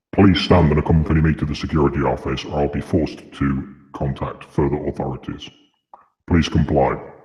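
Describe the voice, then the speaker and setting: In a put-on character voice, a man speaks at a fairly quick pace with a very deep, low pitch and fairly even intonation. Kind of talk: formal, official. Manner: commanding, stern.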